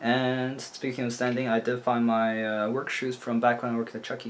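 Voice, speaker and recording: Background noise is noticeable behind this man. He talks at a fairly quick pace with a medium pitch. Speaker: vlogger. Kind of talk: casual video diary. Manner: fast.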